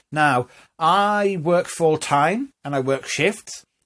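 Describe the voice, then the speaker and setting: A man speaks with lively intonation in a Newcastle accent, on a very clean recording with a silent background. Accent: Newcastle (Geordie). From northern England, Newcastle. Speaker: vlogger. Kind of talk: casual monologue to camera. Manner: rising intonation at phrase ends.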